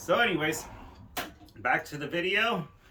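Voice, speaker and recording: A man speaks loudly at a moderate pace. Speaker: outdoor cooking vlogger. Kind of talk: casual vlog tutorial. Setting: garage home studio. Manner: casual rambling.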